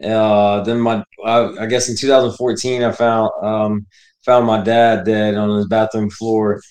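Here a man talks with an American accent at a moderate pace. His pitch is medium. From Texas and Florida, US. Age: 30s. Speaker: military veteran in addiction recovery. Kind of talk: personal testimony in interview.

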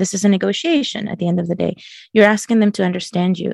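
A woman races along at a very fast pace in a somewhat breathy voice. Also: dry, close sound with no echo. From Chile. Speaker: LGBTQ educator, former teacher. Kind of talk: podcast interview.

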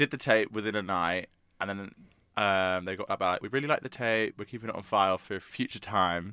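Speaking in a London accent, a man goes at a fairly quick pace with a bright, sharp tone. His pitch is fairly low, and the sound is dry and close, with no echo. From South London. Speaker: musical theatre actor. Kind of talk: interview.

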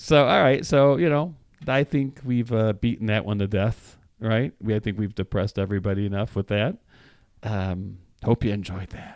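In a dry, close sound with no echo and a silent background on a very clean recording, a man with an American accent speaks at a moderate pace in a fairly low pitch with ordinary pitch variation. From Chicago, US Midwest. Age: 50s. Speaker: podcast co-host. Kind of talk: casual chat. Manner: halting, many fillers and repeats.

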